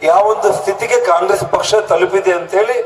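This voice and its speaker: A man speaks at a high pitch. Music plays in the background. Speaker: politician. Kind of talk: campaign rally speech. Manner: emphatic, oratorical.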